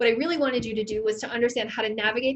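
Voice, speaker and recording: A woman with a fairly high pitch and ordinary pitch variation talks in an ordinary speaking voice. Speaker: ed tech trainer for teachers. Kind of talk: online training session.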